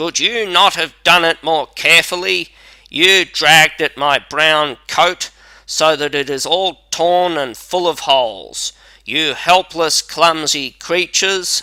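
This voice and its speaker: A man does a put-on character voice, raspy and shrill at a fairly high pitch. He speaks at a fairly slow pace. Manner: angry, complaining.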